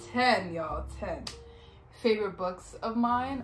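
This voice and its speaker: Faint music sits in the background. A woman speaks at a very slow pace. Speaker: vlogger. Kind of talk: casual vlog chat. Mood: warm, relaxed. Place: home room. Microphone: phone near.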